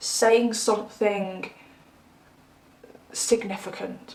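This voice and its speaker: Noticeable background noise accompanies a woman with an English accent and a fairly high pitch. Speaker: tarot reader. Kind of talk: tarot reading monologue. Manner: animated.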